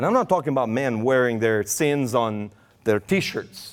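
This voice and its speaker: Lively in intonation, a man speaks at a fairly slow pace with a Romanian accent. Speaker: preacher. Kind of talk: sermon. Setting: church.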